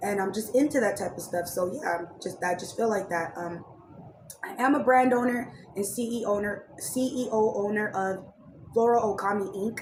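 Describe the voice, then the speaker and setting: Noticeable background noise and audible room echo surround a woman of medium pitch speaking at a moderate pace with fairly even intonation. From Raleigh, North Carolina, then San Diego. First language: Spanish. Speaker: YouTuber and commentary podcaster. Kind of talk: casual storytime monologue. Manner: casual, many fillers.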